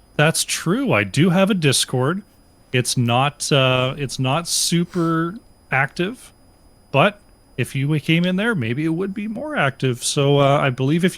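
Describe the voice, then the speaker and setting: A man is speaking. He talks with an Ottawa accent. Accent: Canadian (Ottawa area). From Eastern Canada, Ottawa area. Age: 30s. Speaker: esports caster and team captain. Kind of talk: casual interview chat. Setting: live stream.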